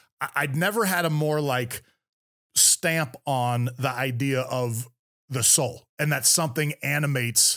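A man talks at a medium pitch with fairly even intonation. The recording is very clean, with a silent background. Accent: American. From US West Coast, San Francisco Bay Area. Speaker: retired Navy SEAL officer and motivational speaker. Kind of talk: casual interview.

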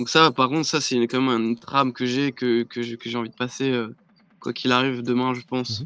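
A man at medium pitch with a bright, sharp tone, monotone, flat intonation, and a fairly quick pace, in a dry, close sound with no echo. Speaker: DJ and music producer. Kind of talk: casual live-stream interview.

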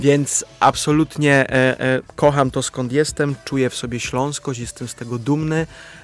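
A man speaks with a fairly high pitch and flat, monotone intonation. He leaves hardly any pauses. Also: moderate pace. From Upper Silesia, Poland (Łaziska Górne). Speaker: actor. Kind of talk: radio interview. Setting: studio.

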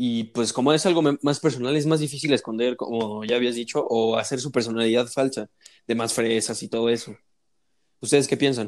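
Here a man speaks with a Mexican accent at a medium pitch and a fairly quick pace. His intonation is fairly even, and the recording is very clean with a silent background. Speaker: university student. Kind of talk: casual chat.

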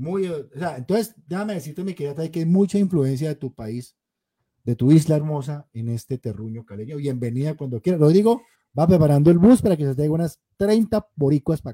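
Lively intonation and big swings in loudness carry a fairly quick pace. The tone is dark, mellow and somewhat breathy, with a dry, close sound and no echo. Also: man, fairly high pitch for a man. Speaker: podcast host. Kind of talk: casual chat. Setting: live stream.

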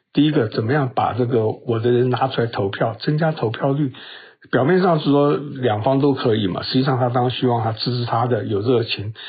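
A man talks at a fairly quick pace with a medium pitch. His voice is somewhat breathy. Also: very even loudness. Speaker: podcast news commentator. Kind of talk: solo news commentary. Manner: casual, with many fillers and hesitations.

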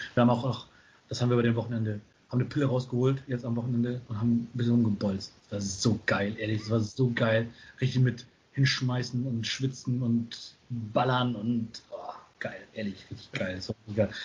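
At a moderate pace, a man with a medium-pitched, somewhat breathy voice talks in a monotone, flat manner. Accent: northern German. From northern Germany, small town near Bremen. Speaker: educator in youth welfare. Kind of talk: casual chat. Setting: video call. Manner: relaxed, easygoing.

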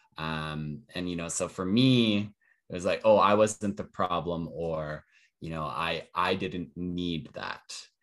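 With a Western Canadian accent, a man with a very deep, low pitch speaks at a very slow pace with ordinary pitch variation on a very clean recording with a silent background. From Calgary, Canada. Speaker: entrepreneur. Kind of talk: casual chat.

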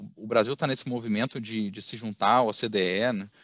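A man with a Minas Gerais accent speaks at a moderate pace, fairly low in pitch with fairly even intonation. The sound is dry and close with no echo, over a quiet background. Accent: Minas Gerais (mineiro). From Minas Gerais, Brazil (Belo Horizonte). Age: 30s. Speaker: company executive. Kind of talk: interview. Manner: halting, many fillers.

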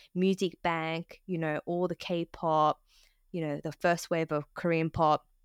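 On a very clean recording with a silent background, a woman with an Australian accent speaks at a fairly slow pace, her pitch fairly low and her intonation fairly even. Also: dry, close sound with no echo. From Australia, Sydney. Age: 30s. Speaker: podcast co-host, content professional. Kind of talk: casual interview chat.

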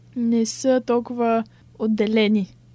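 Pitched fairly high, a woman's voice carries a dark, mellow tone. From Bulgaria, Sofia. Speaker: illustration student. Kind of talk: interview.

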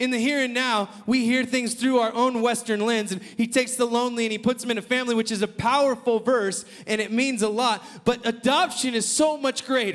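Loud and fairly quick, a man talks at an extremely high pitch with fairly even intonation. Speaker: preacher. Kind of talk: sermon.

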